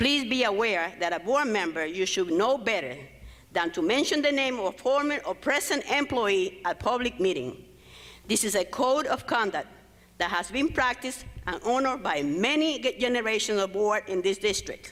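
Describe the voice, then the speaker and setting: A woman at a moderate pace, her loudness very even while her pitch swings very widely. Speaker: former school principal. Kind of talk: public comment at board meeting. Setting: public board meeting in school.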